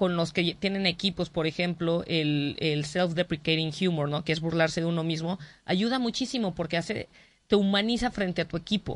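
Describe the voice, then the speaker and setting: This woman has an unremarkable speaking voice with ordinary pitch variation. She talks at a moderate pace with very even loudness. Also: fairly low pitch for a woman. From Mexico. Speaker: comedian. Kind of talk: interview. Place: studio.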